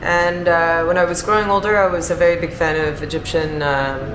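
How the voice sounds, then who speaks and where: With music playing behind her and audible room echo, a woman speaks in a fairly low pitch with an American accent and ordinary pitch variation. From Chicago, US Midwest. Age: 30s. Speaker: bar manager. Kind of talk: interview.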